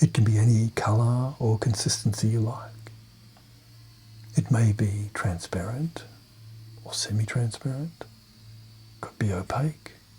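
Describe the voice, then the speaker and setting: Soft-spoken and medium in pitch, a man talks at a fairly slow pace with ordinary pitch variation, long, frequent pauses and big swings in loudness. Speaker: clinical hypnotherapist. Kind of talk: guided meditation. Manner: soft-spoken, calming.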